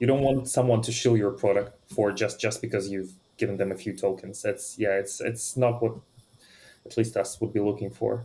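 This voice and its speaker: Fairly even intonation from a man, his voice somewhat breathy with a dark, mellow tone. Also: medium pitch for a man, moderate pace. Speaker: NFT project team member. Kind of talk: casual chat. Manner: repeats words, some hesitation.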